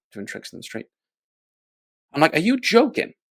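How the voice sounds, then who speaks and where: Here a man talks with a Welsh accent. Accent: unique Welsh. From Wales. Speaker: magic company executive. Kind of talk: casual interview chat.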